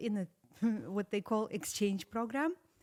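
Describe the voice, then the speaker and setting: A woman with a slight Russian accent, speaking at a moderate pace. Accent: slight, atypical Russian. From Russia (Saratov). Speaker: interview guest. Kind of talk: casual interview.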